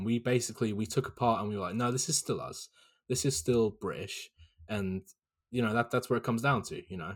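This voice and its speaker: This man has a southern English accent. He talks at a fairly quick pace. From southern England, Hampshire. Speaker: guest, student. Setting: remote call from the UK, night.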